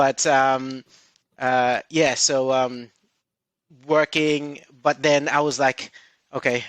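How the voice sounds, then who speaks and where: A man speaks with a Filipino accent. His medium-pitched voice has a dry, close sound with no echo. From Philippines. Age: 30s. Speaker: recruitment director. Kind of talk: interview. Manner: hesitant, many fillers.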